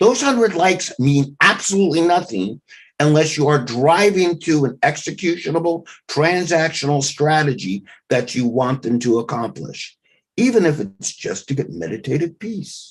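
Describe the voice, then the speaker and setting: A man speaks with lively intonation at a moderate pace. His fairly high voice is an unremarkable speaking voice. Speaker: marketing speaker. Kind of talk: webinar presentation.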